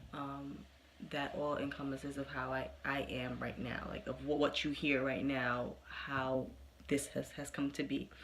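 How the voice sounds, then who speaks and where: Speaking at a fairly slow pace, a woman has a very deep, low pitch, vocal fry, and monotone, flat intonation. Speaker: youtuber who stutters. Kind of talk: personal storytelling monologue. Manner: halting, many fillers and repetitions.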